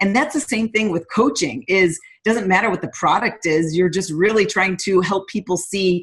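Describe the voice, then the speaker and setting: A somewhat breathy woman's voice in an American accent, at a medium pitch, with ordinary pitch variation. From upstate New York, US. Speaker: fitness coach. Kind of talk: guest talk on a team call. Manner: trying to speak slower.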